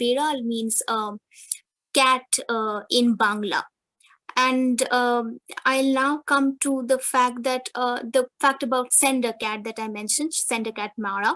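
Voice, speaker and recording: A woman with a Bengali accent speaks at a fairly slow pace, her high pitch held in fairly even intonation. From India, West Bengal. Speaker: academic presenter. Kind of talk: conference presentation.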